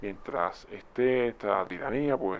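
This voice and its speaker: A man with a Cuban accent. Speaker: YouTube commentator. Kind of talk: video commentary. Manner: conversational.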